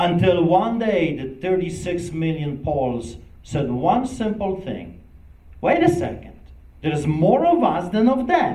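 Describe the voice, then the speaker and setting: With lively intonation, a man speaks at a fairly slow pace. His pitch is high. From Poland. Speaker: pastor. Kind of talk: speech. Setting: event with live audience. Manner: impassioned.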